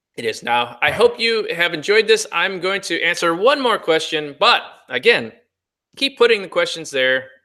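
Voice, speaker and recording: A man speaks in a high, raised, projected voice with a bright, sharp tone. His pitch swings very widely. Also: moderate pace. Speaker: cosmetic chemist. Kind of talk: webinar Q&A. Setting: online webinar. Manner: casual with frequent fillers.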